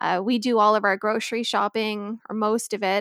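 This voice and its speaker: A woman speaks with a western Canadian accent in a fairly high pitch and a flat, monotone delivery. The sound is dry and close, with no echo. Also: very clean recording, silent background. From Victoria, British Columbia, Canada. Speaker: personal finance guest, mother of four. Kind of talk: casual chat.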